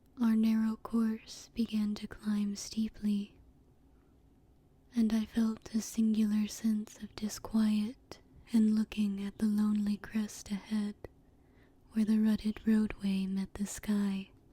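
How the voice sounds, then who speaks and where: A soft-spoken voice. The pace is very slow. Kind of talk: ASMR story reading.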